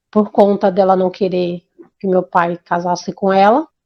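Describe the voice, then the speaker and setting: A woman talks at a fairly slow pace. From Brazil, Bahia. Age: 50s. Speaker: interviewee telling life story. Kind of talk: life story testimony. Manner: halting, with repetitions and restarts.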